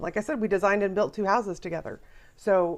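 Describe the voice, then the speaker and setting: A woman's medium-pitched voice with an American accent, set against a quiet background. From Iowa. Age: 50s. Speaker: spiritual counselor and priestess. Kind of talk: casual group discussion. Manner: animated.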